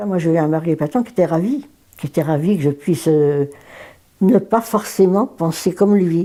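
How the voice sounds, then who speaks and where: In a dark, mellow tone, a woman speaks at a moderate pace with a fairly low pitch and ordinary pitch variation. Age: 90s. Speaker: elderly woman recalling first vote. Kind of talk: interview testimony.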